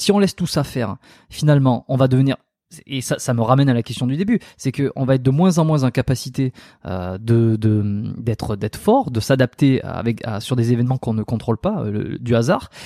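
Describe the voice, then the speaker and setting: In a very clean recording with a silent background, a man speaks at a moderate pace with a dark, mellow tone and lively intonation, the sound dry and close with no echo. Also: medium pitch for a man. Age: 30s. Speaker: osteopath and podcast host. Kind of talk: casual interview chat.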